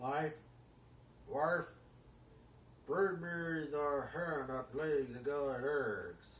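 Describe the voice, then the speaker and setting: A put-on character voice at a low-to-middle pitch moves at a very slow pace. Long, frequent pauses break it up, and clear background noise runs underneath. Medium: read story. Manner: bellowing, domineering.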